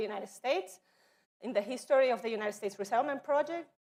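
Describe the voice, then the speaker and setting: A woman's high-pitched voice with a non-native accent and ordinary pitch variation. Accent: noticeable non-native. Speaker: education office presenter. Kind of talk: training presentation.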